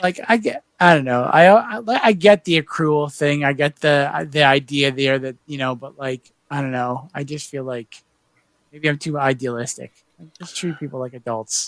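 In a plain, everyday voice with an American accent, a man with a fairly high pitch speaks at a moderate pace with ordinary pitch variation, in a dry, close sound with no echo. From Massachusetts. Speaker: podcast host. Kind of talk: casual chat.

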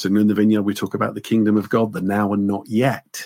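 A man with an English accent, fairly low in pitch, at a fairly quick pace. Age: 50s. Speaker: pastor and theology professor. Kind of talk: casual chat.

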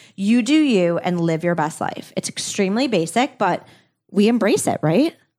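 A woman at a moderate pace and medium pitch, with an animated tone and lively intonation, on a very clean recording with a silent background. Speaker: podcast co-host. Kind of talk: casual chat.

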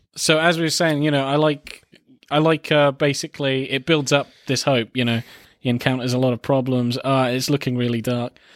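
In a southern English accent, a man of medium pitch speaks at a fairly quick pace with fairly even intonation, in a dry, close sound with no echo on a very clean recording with a silent background. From England. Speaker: film podcast co-host. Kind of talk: casual chat.

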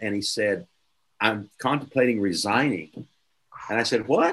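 The speaker is a man with an American accent. He talks at a moderate pace with ordinary pitch variation. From Oklahoma, US. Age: 60s. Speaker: preacher and church leadership mentor. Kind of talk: interview.

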